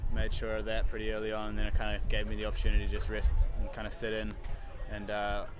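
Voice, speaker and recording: The recording of a man's voice is dry with no echo, though background noise is noticeable. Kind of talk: interview answer. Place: street. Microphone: handheld.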